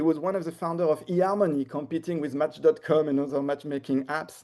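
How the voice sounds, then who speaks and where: A man with a French accent speaks in a dark, mellow tone with ordinary pitch variation. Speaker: marketing technology expert. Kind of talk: webinar presentation. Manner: hesitant, with fillers and repetitions.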